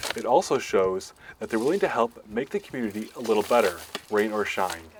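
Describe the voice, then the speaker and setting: A man's fairly quick speech comes through with noticeable background noise behind it. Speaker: reporter. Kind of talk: TV news reporter narration. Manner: clear, broadcast-style delivery.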